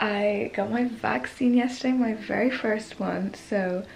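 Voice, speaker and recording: Light background noise sits behind a woman speaking with ordinary pitch variation. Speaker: vlogger. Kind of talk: casual vlog chat. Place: home room. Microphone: phone near.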